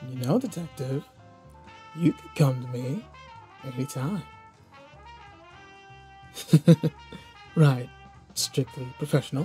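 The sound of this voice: A man's put-on character voice at medium pitch, dark and mellow with a husky, rough edge, slow with long, frequent pauses and lively intonation over faint music in the background.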